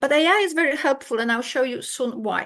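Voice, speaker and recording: A woman with a Polish accent, high pitch, ordinary pitch variation and a moderate pace, against a quiet background. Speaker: keynote speaker, academic. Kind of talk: conference keynote lecture. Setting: video call, online conference. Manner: halting, with false starts.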